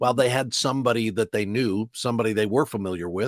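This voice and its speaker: With an American accent and an ordinary speaking voice, a man talks at a medium pitch with ordinary pitch variation, in a dry, close recording with no echo that is very clean against a silent background. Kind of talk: interview answer about his career.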